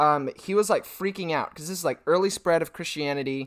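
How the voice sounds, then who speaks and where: It's an ordinary speaking voice, a man's, pitched fairly high with ordinary pitch variation. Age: 20s. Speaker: podcast host and youth pastor. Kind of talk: casual interview chat. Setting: remote call.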